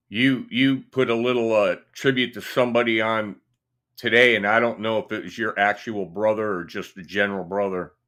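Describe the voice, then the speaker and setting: On a very clean recording with a silent background, a man with a Midwestern US accent speaks at a moderate pace in a bright, sharp tone, fairly low in pitch, with fairly even intonation. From Indiana. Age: 60s. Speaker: guitarist and YouTuber. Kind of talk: casual chat. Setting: livestream. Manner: halting.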